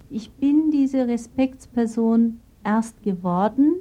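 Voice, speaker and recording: Somewhat breathy woman's voice in a Turkish accent, dark and mellow in tone, with ordinary pitch variation. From Turkey, moved to Baden-Württemberg at 12. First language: Turkish (speaking German). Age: 40s. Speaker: gynecologist. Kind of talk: interview testimony.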